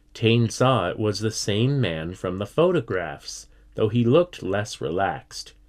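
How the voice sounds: The voice reads naturally.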